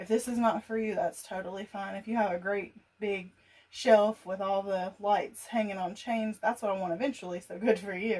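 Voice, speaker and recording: A somewhat breathy woman at a moderate pace, with big swings in loudness and fairly even intonation. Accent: Southern US. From US South. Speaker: gardening youtuber. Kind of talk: casual tutorial. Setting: laundry room at home.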